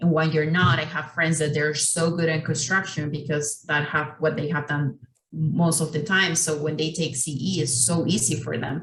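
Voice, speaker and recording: A woman with a non-native accent speaks at a very deep, low pitch and a moderate pace. Her intonation is fairly even, with hardly any pauses. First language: not English. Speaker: architecture exam panelist. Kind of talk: panel discussion.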